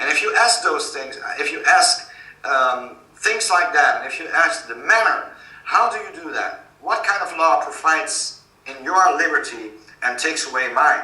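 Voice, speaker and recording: A man speaks with a Dutch accent and big swings in loudness. Noticeable background noise and audible room echo come through. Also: moderate pace. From Netherlands. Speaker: author. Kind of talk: interview. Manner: halting.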